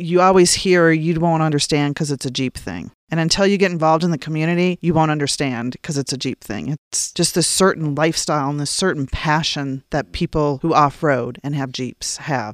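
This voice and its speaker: In an Upper Midwest accent, the speaker talks at a fairly quick pace with hardly any pauses. Pitch variation is ordinary, and the sound is dry and close with no echo. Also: woman, very deep, low pitch for a woman. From Minnesota, North Dakota. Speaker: auto shop co-owner and blogger. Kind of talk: casual interview.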